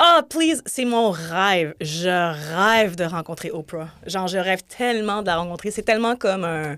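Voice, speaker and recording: Using a normal speaking voice, a woman talks at a fairly slow pace with hardly any pauses, her medium pitch showing ordinary pitch variation. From grew up on three continents. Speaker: TV director. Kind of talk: casual chat. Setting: studio.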